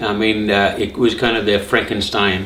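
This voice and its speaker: At a moderate pace and a medium pitch, a man talks amid noticeable background noise and audible room echo. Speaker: cancer survivor vlogger. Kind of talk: personal testimony. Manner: halting, many fillers.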